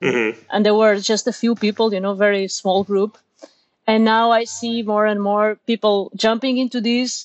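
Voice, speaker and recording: In a Portuguese accent, a woman with a fairly high pitch speaks at a moderate pace. Her intonation is monotone and flat. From Portugal, Lisbon. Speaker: software engineer and meetup organizer. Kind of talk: casual interview. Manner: halting, repeats words.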